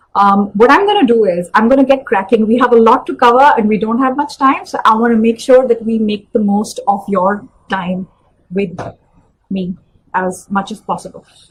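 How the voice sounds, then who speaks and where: A woman speaks with a fairly high pitch and a somewhat breathy quality. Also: ordinary pitch variation, moderate pace. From India, New Delhi. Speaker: career coach. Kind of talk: live webinar talk.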